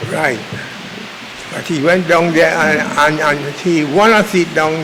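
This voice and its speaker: Speaking at a very slow pace with fairly even intonation, a man with a fairly high pitch is heard against noticeable background noise. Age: 80s+. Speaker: long-standing political party member. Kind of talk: interview answer.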